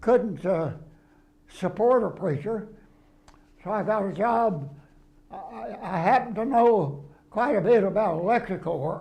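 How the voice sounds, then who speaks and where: Lively intonation from a man with a Texan accent, high in pitch, fairly slow, with long, frequent pauses. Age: 80s+. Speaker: retired preacher. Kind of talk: interview answer.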